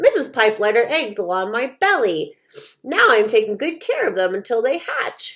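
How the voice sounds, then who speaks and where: A woman performs a put-on character voice, raised and projected, at high pitch with very wide pitch swings. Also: moderate pace. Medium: read story.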